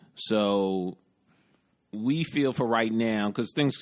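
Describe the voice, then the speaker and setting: Speaking with a New York accent, a man uses a fairly low pitch and lively intonation. He goes at a fairly slow pace on a very clean recording with a silent background. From New York City. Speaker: podcast host, fashion stylist. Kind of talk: casual chat, podcast intro.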